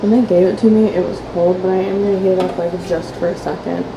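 A woman with vocal fry, a fairly low pitch and fairly even intonation at a fast pace, amid clear background noise.

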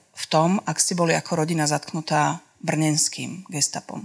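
A woman speaks at a fairly low pitch with monotone, flat intonation. The background is quiet. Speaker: documentary filmmaker and author; guest, reporter. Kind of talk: public talk. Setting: live audience event. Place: hall. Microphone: handheld.

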